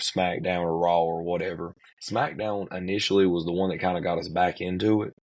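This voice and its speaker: This voice has an American accent and moves at a fairly quick pace. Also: man. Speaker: pro wrestler. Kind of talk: interview. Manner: casual, conversational.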